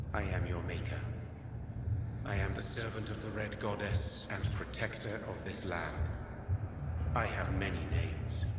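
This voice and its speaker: Over loud background noise and clear echo, a man puts on a character voice, fairly low in pitch, at a moderate pace. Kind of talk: mythic prophecy. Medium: game stream. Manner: solemn, cryptic, measured.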